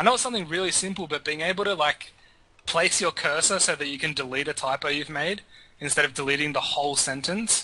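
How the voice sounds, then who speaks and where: With an Australian accent, a man speaks at a very fast pace and fairly high pitch, with ordinary pitch variation. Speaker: gaming podcast panelist. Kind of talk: casual chat.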